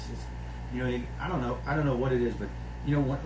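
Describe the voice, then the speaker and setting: Noticeable background noise sits behind a man talking. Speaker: pastor. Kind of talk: sermon. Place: office. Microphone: phone near.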